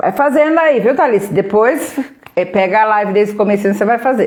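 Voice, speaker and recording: With an animated tone and lively intonation, a woman speaks at a medium pitch. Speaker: therapist running a live workshop. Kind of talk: live stream guided exercise. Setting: live stream.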